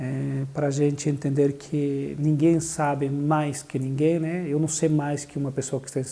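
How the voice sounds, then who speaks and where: Somewhat breathy and fairly high for a man, his dark, mellow voice runs at a moderate pace in a flat monotone with hardly any pauses. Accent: Bolivian. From Bolivia. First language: Spanish (speaking Portuguese). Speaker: social services coordinator. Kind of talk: interview testimony. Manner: hesitant, with fillers.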